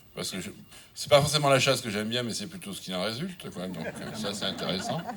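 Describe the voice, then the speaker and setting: A man speaks with audible room echo around him. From southern France. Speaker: wine critic. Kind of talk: acceptance speech. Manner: halting, many hesitations.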